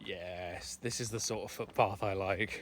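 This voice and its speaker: The voice is quiet, with ordinary pitch variation. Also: man. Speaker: vlogger. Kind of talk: walking vlog monologue. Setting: outdoors on a walk. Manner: casual, chatty; quieter voice in village.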